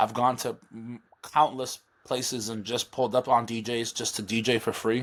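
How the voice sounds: At a moderate pace, a man with medium pitch and a fairly bright tone talks with little pitch movement.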